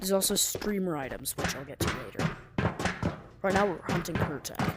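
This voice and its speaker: Here a woman talks at a fairly quick pace, medium in pitch with ordinary pitch variation and big swings in loudness. Audible room echo and noticeable background noise surround her voice. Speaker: gaming YouTuber. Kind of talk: gameplay tutorial commentary. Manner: casual, slangy.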